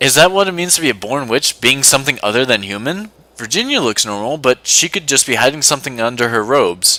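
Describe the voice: The words are read out plainly. Nothing more than reading aloud is heard.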